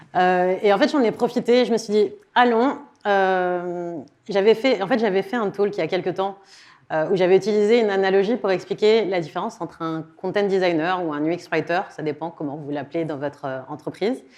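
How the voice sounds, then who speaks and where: In a quiet background, a woman talks at a medium pitch with ordinary pitch variation and big swings in loudness. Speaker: content designer giving a conference talk. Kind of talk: conference talk. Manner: fast.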